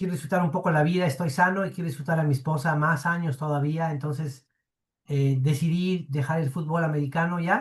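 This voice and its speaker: With an unremarkable speaking voice, a man talks at a fairly quick pace, his fairly high pitch following fairly even intonation. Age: 60s. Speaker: football coach. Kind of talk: casual interview.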